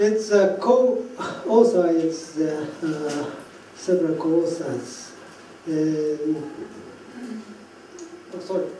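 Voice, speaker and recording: A man speaks very slowly with a Japanese accent, his pitch high and his loudness swinging widely. Long, frequent pauses break his speech, with audible room echo and noticeable background noise. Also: ordinary pitch variation. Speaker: professor. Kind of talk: lecture. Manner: halting.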